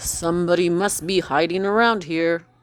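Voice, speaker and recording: The speaker puts on a character voice, pitched in the middle and paced moderately. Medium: read story.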